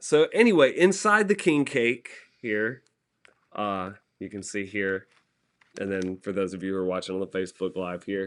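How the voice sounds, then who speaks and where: With a Southern US accent, a man with a fairly low pitch speaks at a moderate pace against a quiet background, leaving long, frequent pauses, with big swings in loudness and ordinary pitch variation. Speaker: TV meteorologist. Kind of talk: casual chat.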